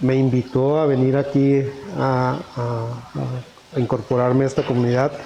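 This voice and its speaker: At a fairly slow pace, a man speaks in a medium pitch with monotone, flat intonation against noticeable background noise. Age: 60s. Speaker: parishioner, self-employed merchant. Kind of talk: interview testimony. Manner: hesitant, many fillers.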